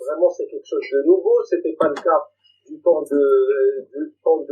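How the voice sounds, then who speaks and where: A man talks at a moderate pace. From Algeria, rural interior. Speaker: debate panelist, Algerian activist. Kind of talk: debate. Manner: halting, many repetitions.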